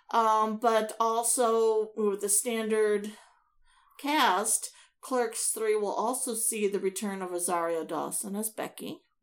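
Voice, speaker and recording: Very slowly, a woman with an American accent speaks at a fairly high pitch with ordinary pitch variation. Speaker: podcast co-host. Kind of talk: casual chat podcast banter.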